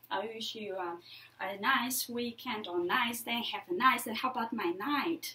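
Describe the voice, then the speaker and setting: A woman's high, lively voice at a fairly slow pace, with audible room echo. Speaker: public speaker. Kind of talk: lecture.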